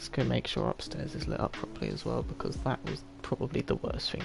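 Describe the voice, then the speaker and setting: Speech races along at a very fast pace with hardly any pauses while music plays in the background. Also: man. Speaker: gaming streamer. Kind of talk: live gameplay commentary. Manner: quiet, hesitant.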